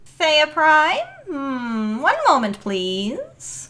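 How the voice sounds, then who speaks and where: A woman puts on a character voice. The act is pitched high. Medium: audio drama.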